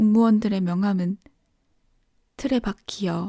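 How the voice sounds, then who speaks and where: A soft-spoken woman's somewhat breathy, dark, mellow voice at a very slow pace, in a dry, close, very clean recording with no echo and a silent background. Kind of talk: bedtime audiobook reading. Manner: sleepy, soft.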